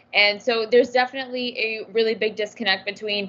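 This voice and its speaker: Over noticeable background noise, a woman with an American accent talks at a very fast pace, with a fairly high pitch and monotone, flat intonation. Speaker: youth panelist. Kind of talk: panel discussion.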